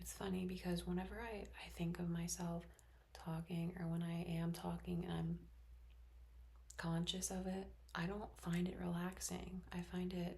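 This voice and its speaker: Over noticeable background noise, a soft-spoken voice goes at a moderate pace. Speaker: teacher and ASMR creator. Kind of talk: ASMR stream of consciousness talk. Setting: bedroom at home. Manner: slightly louder than usual whisper.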